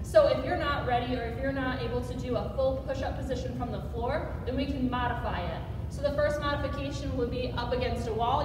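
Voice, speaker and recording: Noticeable background noise and audible room echo fill the clip. A woman speaks at a fairly quick pace. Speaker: physical therapy instructor. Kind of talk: tutorial. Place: gym. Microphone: camera far.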